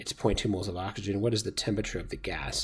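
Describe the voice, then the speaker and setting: A man's somewhat breathy voice at a very fast pace, in a very clean recording with a silent background. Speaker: chemistry teacher. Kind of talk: tutorial.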